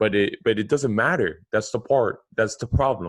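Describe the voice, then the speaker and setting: Moderate pace and medium pitch from a man's voice. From Cuban-American, Florida. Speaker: podcast host. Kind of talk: casual interview chat. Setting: video call.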